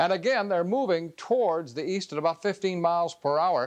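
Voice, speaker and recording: A man talks in a high voice at a moderate pace. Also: very clean recording, silent background. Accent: American. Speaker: TV weather forecaster. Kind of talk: local TV weather report.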